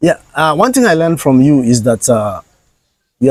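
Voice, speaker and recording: A man with a Nigerian accent, medium pitch and ordinary pitch variation, in a dry, close sound with no echo. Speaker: content creator. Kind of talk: interview.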